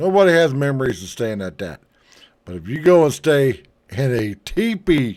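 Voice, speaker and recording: Medium pitch from a man at a moderate pace, with very wide pitch swings and big swings in loudness. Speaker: travel vlogger. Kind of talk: casual commentary reading from articles. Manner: halting, stumbling over words; animated.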